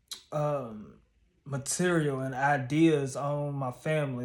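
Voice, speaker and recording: A man's somewhat breathy, fairly high voice with fairly even intonation. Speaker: YouTuber and stand-up comedian. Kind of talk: casual vlog monologue.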